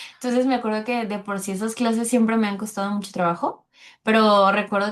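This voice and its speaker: A woman speaks in a Mexican accent. The background is quiet. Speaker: French teacher and podcast host. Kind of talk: casual interview.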